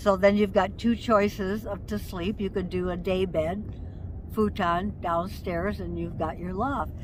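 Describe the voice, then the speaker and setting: Audible room echo surrounds the voice. The woman speaks at a fairly slow pace. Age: 70s. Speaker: retired nomad living in a bus. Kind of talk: interview.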